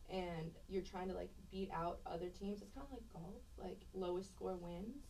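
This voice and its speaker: A woman at a moderate pace, with audible room echo. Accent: American. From Texas (Cypress, near Houston), earlier Pittsburgh. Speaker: college athlete. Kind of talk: casual interview.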